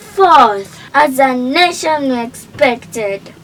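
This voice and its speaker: Noticeable background noise runs under a woman's voice. She speaks at a high pitch and a very slow pace. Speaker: tribute narrator. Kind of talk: scripted narration. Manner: formal.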